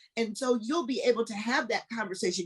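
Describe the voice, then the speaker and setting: Somewhat breathy and fairly high in pitch, a woman talks at a fairly quick pace with very wide pitch swings. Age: 60s. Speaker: local politician. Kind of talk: panel discussion. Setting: video call.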